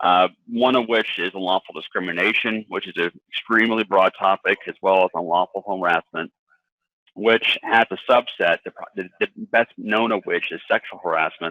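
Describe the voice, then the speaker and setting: A man talks at a moderate pace in an unremarkable speaking voice. His pitch is fairly low and his intonation fairly even. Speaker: employment lawyer. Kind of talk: webinar presentation. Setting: webinar.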